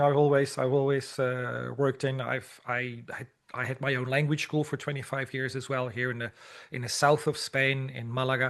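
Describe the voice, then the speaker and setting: A man in a Dutch accent speaks at a fairly high pitch. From Netherlands. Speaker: language teacher and teacher trainer. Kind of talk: interview. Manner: halting, many repetitions.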